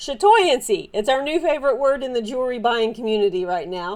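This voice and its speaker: Someone speaks at a moderate pace with a Southern US accent. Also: woman. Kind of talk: casual show-and-tell haul video. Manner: animated; halting with many fillers.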